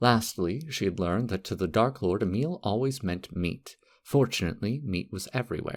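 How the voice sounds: Intonation rises and falls in a lively way. The speaker uses a natural reading voice.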